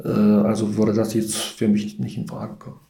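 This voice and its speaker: A man with a medium-pitched voice and a dark, mellow tone talks at a moderate pace over audible room echo. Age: 50s. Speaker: sports club chairman. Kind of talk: casual interview. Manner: hesitant, many fillers.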